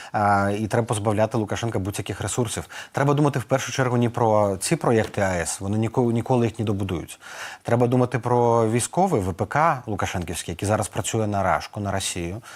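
This man has an ordinary speaking voice at a fairly low pitch. His pitch varies in an ordinary way. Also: fairly quick pace. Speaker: political adviser. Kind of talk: news interview.

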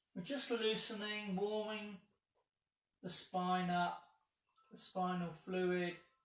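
Amid audible room echo, a man with a high-pitched voice speaks in a calm, soothing tone at a very slow pace, with fairly even intonation and long, frequent pauses. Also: big swings in loudness. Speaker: yoga instructor. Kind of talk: guided yoga class, step-by-step cueing. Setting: home video with a dog on the mat. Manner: calm, slow, soothing, instructive. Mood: calm, gentle guidance. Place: home room. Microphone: camera far.

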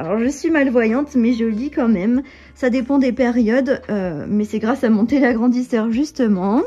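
A woman talks at a moderate pace in a high pitch. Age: 20s. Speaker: lifestyle vlogger and wellness coach; vlogger giving an apartment tour. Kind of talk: apartment tour vlog. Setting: at home. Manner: casual, many fillers. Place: home room. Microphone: phone near.

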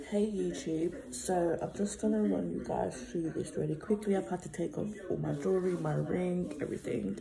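Noticeable background noise sits under a woman's voice. She keeps a moderate pace with hardly any pauses. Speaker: vlogger. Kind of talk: casual vlog chat. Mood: excited, relieved after surgery. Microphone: phone near.

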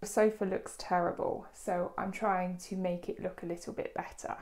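A woman's dark, mellow tone in a British accent. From United Kingdom. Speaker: English teacher. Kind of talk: tutorial. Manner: clear, deliberate.

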